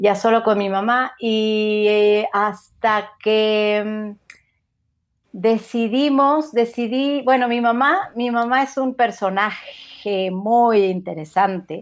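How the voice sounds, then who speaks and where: A woman speaks at a very slow pace. Her fairly high voice shows ordinary pitch variation. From Mexico City. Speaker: podcaster. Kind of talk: interview conversation.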